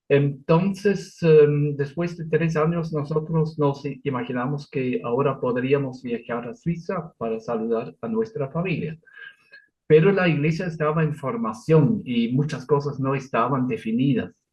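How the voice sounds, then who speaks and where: With a non-native accent, a man speaks at a fairly slow pace in a fairly high, somewhat breathy voice and lively intonation. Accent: foreign accent in Spanish, noticeable. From Switzerland. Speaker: Lutheran pastor. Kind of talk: interview. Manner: halting, with fillers and self-corrections.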